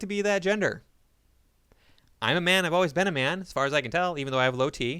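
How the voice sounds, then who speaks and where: A man with an American accent talks at a fairly quick pace with a high pitch and a bright, sharp tone. The recording is very clean, with a silent background. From United States. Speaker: political commentary YouTuber. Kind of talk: reaction commentary video. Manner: animated.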